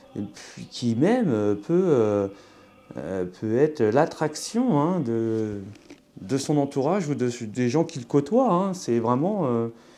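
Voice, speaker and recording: Speaking at a very slow pace, a man with a medium-pitched, dark and mellow voice makes very wide pitch swings. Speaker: tarot card reader. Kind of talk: astrology tarot reading. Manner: halting, many fillers.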